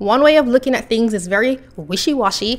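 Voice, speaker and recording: A woman speaks at a moderate pace in a high pitch with lively intonation. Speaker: video blogger. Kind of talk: video commentary, essay-style monologue. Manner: informative, measured, somewhat scripted delivery.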